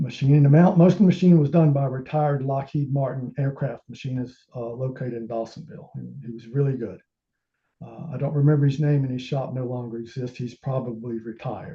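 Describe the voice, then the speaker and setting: A man talks at a very fast pace and medium pitch, somewhat breathy, with ordinary pitch variation. His loudness swings widely. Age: 60s. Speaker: amateur telescope maker presenting his build. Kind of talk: technical presentation. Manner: halting, many filler sounds.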